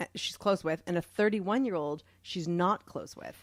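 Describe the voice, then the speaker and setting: A woman with an unremarkable speaking voice talks at a moderate pace in a medium pitch, with ordinary pitch variation, on a very clean recording with a silent background. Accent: American. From US Northeast, Boston. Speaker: podcast co-host. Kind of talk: casual chat.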